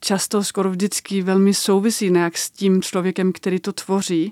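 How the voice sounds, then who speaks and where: A woman with a Danish accent, medium pitch and a dark, mellow tone, monotone and flat, in a dry, close sound with no echo on a very clean recording with a silent background. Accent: Danish accent in Czech. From Denmark. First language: Danish (speaking Czech). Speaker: documentary maker. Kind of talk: interview.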